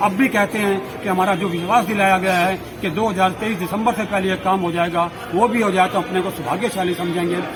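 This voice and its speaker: Noticeable background noise runs under speech at a moderate pace with fairly even intonation. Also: man, high pitch for a man. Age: 60s. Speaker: civic activist. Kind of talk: media statement.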